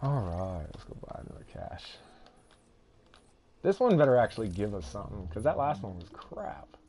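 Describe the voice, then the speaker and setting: A man with a Southern US accent talks at a moderate pace, with big swings in loudness and long, frequent pauses. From Texas. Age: 30s. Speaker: video game streamer. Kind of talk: casual chat. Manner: animated.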